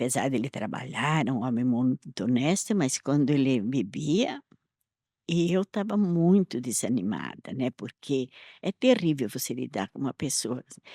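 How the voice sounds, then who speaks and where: A woman with a very deep, low pitch and a dark, mellow tone speaks at a fairly slow pace with lively intonation. The sound is dry and close with no echo, a very clean recording over a silent background. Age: 80s+. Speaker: church elder. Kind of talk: testimony.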